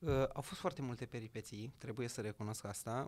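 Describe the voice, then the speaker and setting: This man has an unremarkable speaking voice, medium in pitch, and moves at a moderate pace. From Romania, Gorj county; Romania. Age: young. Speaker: entrepreneur and local politician; guest. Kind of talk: interview. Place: studio. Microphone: studio mic.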